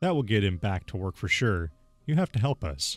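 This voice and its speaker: Using a put-on character voice with a fairly low pitch, a man talks at a fairly quick pace while faint music plays in the background. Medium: solo performance.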